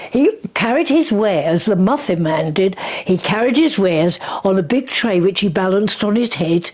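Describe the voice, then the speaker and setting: A woman with an English accent speaks at medium pitch and a moderate pace, with very wide pitch swings and very even loudness. Noticeable background noise is present. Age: 90s. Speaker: grandmother recalling wartime life. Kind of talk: casual interview.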